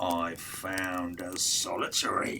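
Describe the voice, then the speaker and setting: A man performs a put-on character voice. Clear background noise runs under it. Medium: read story. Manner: hesitant, stammering.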